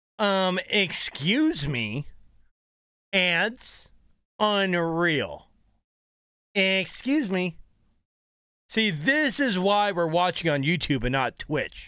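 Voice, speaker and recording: A man with a high, bright, sharp voice projects loudly, his pitch swinging very widely. He speaks very slowly with long, frequent pauses against a quiet background. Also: dry sound with no echo. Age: 30s. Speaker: gaming streamer and coach. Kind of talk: gameplay commentary. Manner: animated. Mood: playful, joking. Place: home room.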